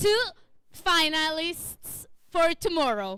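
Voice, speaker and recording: A woman with an Italian accent uses a raised, projected voice at an extremely high pitch, her tone bright and sharp and her pace very slow. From Italy. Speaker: event host. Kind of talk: live event hosting. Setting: stage with audience.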